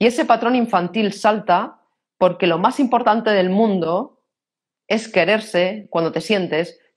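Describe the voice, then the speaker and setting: With a Castilian accent, the speaker talks at a fairly slow pace. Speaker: personal development speaker. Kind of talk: interview.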